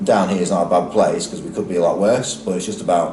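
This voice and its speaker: In a Lancashire accent, a man speaks at a very fast pace. Noticeable background noise and audible room echo are present. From northern England, Lancashire. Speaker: football club executive. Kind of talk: interview. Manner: hesitant, many fillers.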